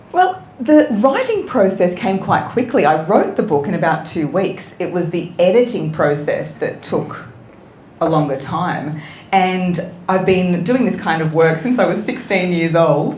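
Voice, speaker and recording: With an Australian accent, a woman speaks at a medium pitch, a fairly slow pace and lively intonation. Noticeable background noise and audible room echo are present. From New South Wales, Australia (Wollongong). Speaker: voice coach and author. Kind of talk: interview.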